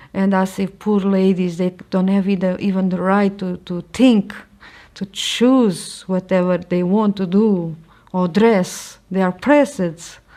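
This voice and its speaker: A woman speaks fairly slowly with a Portuguese accent, her voice medium in pitch with a dark, mellow tone. Her intonation stays fairly even. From Portugal. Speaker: convert sharing her story. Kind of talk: testimony. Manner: halting.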